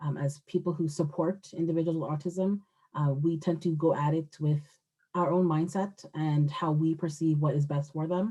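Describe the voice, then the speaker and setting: A woman talks in a very deep, low pitch with a monotone, flat intonation. Her voice is somewhat breathy, with a dark, mellow tone. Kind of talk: webinar presentation. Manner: fast.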